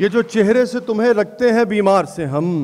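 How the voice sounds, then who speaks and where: This man speaks with a Punjabi accent in a high voice. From Pakistan. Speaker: poet. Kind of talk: poetry reading at a mushaira.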